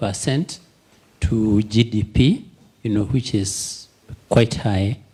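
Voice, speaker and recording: A man's somewhat breathy voice, dark and mellow in tone, at a fairly slow pace with ordinary pitch variation. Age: 70s. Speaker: audience member asking a question. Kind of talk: Q&A comment at a virtual forum. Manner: halting with many fillers.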